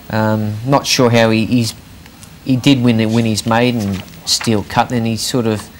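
Noticeable background noise runs under the clip. A man speaks at a medium pitch with fairly even intonation. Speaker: racing tipster. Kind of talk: casual chat.

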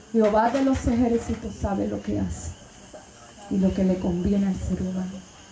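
A woman's animated, passionate tone at a moderate pace, with audible room echo and light background noise. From Puerto Rico. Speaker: Pentecostal preacher. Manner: animated, passionate and exhortative, rising to a loud preaching cadence. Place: tent.

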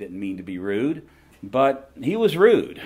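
Speaking at a fairly slow pace, a man with a Southern US accent makes very wide pitch swings. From US South. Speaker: seminary professor and ministry leader. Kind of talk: conference talk. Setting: stage with audience. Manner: animated. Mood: warm, humorous storytelling. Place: hall. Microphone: camera far.

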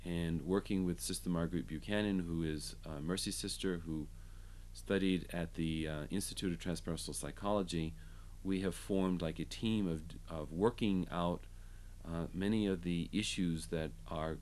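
A man's very deep, low voice at a moderate pace, with fairly even intonation. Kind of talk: interview answer. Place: home room.

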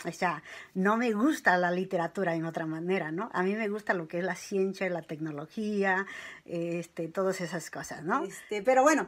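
Ordinary pitch variation comes at a moderate pace. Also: woman. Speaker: vlogger; personal storyteller. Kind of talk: personal testimony. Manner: hesitant, many fillers. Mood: warm, smiling, reflective.

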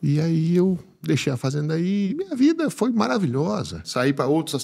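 In a quiet setting, the male speaker's intonation moves in a lively way. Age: 50s. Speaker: animal scientist and agribusiness speaker. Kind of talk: personal testimony in interview. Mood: warm, reflective, emotional story. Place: studio. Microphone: studio mic.

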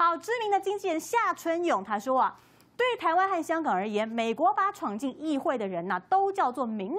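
A woman's high voice at a moderate pace, swinging very widely in pitch. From Taiwan. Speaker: TV talk show host; TV talk-show host. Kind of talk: TV political panel talk. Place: studio.

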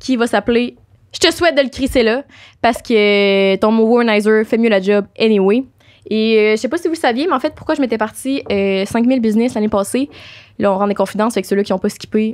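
A woman speaks in a Quebec accent at a moderate pace. The background is quiet. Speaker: podcast host. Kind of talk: casual chat. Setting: studio. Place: studio. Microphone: studio mic.

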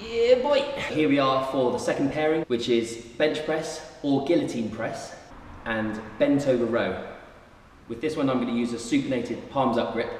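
Moderate-paced male speech with ordinary pitch variation, audible room echo and light background noise. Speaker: personal trainer. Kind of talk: tutorial. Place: gym. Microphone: camera far.

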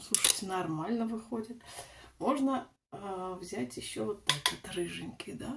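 Loud background noise sits behind a woman of medium pitch. She speaks at a fairly slow pace with lively intonation. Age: 40s. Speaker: lifestyle vlogger; beauty vlogger. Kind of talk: casual vlog, makeup tutorial. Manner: chatty, meandering. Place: bathroom. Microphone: phone near.

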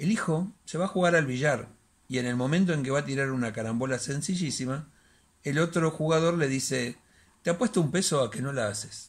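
Somewhat breathy, a man speaks at a fairly quick pace with ordinary pitch variation. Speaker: bookseller and storyteller. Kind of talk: reading a short story aloud as dramatic narration. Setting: home recording, solo. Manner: hesitant, halting, repeating words in the intro; dramatic, suspenseful storytelling pace. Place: home room. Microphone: phone near.

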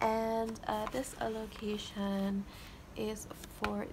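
Vocal fry against clear background noise. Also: woman.

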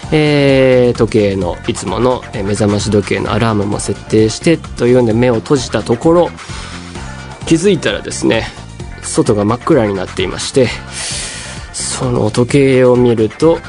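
A man's pitch varies in an ordinary way while music plays clearly behind him. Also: moderate pace. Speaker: radio host. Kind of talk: radio talk, personal anecdote. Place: studio. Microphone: studio mic.

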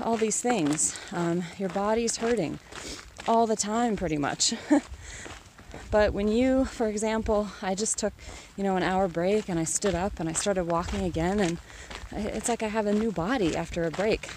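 A woman's voice at a moderate pace, with ordinary pitch variation and a dry, echo-free sound over noticeable background noise. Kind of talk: casual vlog chat. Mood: reflective, grateful. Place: open country. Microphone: phone near.

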